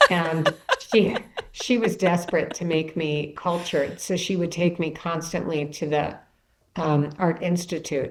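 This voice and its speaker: A woman with a Chicago accent speaks at a fairly slow pace on a very clean recording with a silent background. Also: fairly low pitch for a woman. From US Midwest, Chicago. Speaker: author and bereaved mother. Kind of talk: podcast interview. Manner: storytelling, animated.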